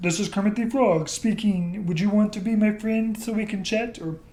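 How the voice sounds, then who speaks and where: A put-on character voice, female-sounding and medium in pitch, moves at a moderate pace. Noticeable background noise runs underneath. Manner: friendly, inviting.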